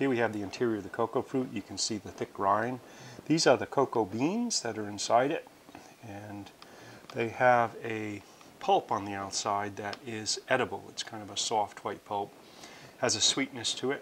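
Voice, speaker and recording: At a moderate pace, a man talks with big swings in loudness and ordinary pitch variation over light background noise. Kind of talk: tutorial.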